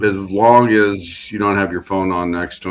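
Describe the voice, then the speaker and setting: A man speaks in a very deep, low voice with a Midwestern US accent and a flat, monotone delivery. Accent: US Midwest. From Illinois, Galesburg. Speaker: podcast host. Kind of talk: casual panel chat.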